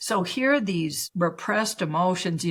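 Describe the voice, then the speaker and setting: A plain, everyday voice, a woman at medium pitch with a Canadian accent, moving at a moderate pace. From Canada. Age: 60s. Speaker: spiritual teacher and healer. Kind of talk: podcast interview.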